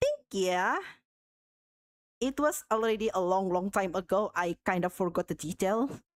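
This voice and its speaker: A woman with a non-native accent speaks in a dry, close sound with no echo. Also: very clean recording, silent background. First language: not English. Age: 30s. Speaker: art streamer. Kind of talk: casual chat. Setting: live stream. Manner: halting.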